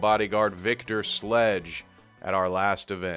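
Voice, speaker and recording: Over music in the background, a man with a fairly low pitch speaks with fairly even intonation. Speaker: wrestling commentator. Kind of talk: pro wrestling commentary.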